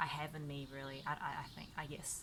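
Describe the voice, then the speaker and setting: Here a woman talks at a moderate pace. She speaks with a New Zealand accent. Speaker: gaming YouTuber. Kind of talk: casual talk to camera. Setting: outdoors.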